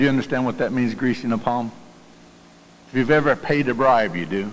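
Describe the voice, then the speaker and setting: A man with a Southern US accent talks at a fairly quick pace in a medium pitch, with ordinary pitch variation and audible room echo. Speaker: pastor. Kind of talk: sermon. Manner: halting.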